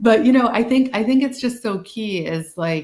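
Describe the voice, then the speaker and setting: The speaker is a woman. She has a slight Boston accent. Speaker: social work speaker. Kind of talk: webinar discussion. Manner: casual, animated.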